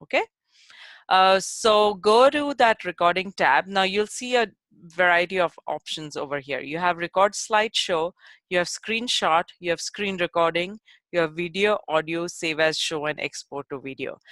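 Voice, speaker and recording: With a plain, everyday voice, a woman speaks at a moderate pace and a fairly low pitch, in a very clean recording with a silent background and a dry, close sound with no echo. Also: lively intonation. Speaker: instructional technology trainer. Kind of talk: tutorial. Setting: web-based workshop.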